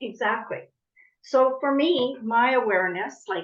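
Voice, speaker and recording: At a fairly slow pace, a woman talks with ordinary rises and falls in pitch. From Canada, born in the Netherlands. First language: Dutch. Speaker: coach. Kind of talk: podcast interview.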